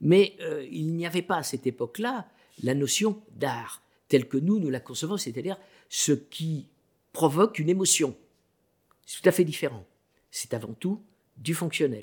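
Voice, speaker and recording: A fairly high-pitched man's voice with lively intonation and long, frequent pauses. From France, early childhood in Central Africa. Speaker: African art collector and author. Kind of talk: radio interview. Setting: studio.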